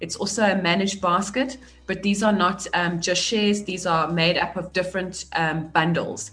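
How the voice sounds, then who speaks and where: The speaker talks at a moderate pace with fairly even intonation over noticeable background noise. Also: woman, medium pitch for a woman. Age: 40s. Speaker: businesswoman and author. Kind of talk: interview on personal finance.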